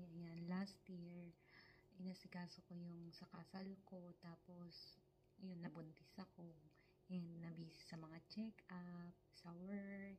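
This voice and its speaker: A soft-spoken woman with a fairly low pitch talks at a very slow pace in a monotone, flat intonation. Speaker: vlogger, caregiver in Japan. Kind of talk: casual vlog. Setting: at home, close to camera. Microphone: close to camera, quiet.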